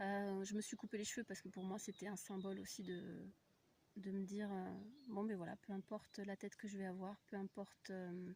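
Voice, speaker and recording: Speaking at a moderate pace, a woman has a medium-pitched, somewhat breathy voice. Her intonation is monotone and flat. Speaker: spiritual coach and voice practitioner. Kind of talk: casual spiritual vlog talk. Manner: hesitant, many fillers.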